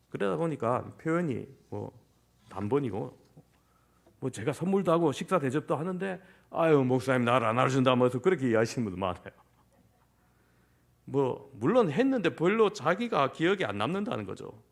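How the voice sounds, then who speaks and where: Pausing long and often, a man with vocal fry and a fairly high pitch talks at a fairly quick pace with very wide pitch swings. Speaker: senior pastor. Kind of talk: sermon. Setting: church. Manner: reserved, few reactions.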